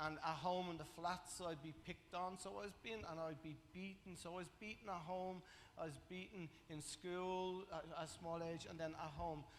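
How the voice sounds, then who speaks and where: A man's high-pitched voice with a Dublin accent, fairly even intonation, and a moderate pace. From Ireland, Dublin (Coolock). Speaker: testimony speaker at church. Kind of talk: testimony. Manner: halting, many fillers.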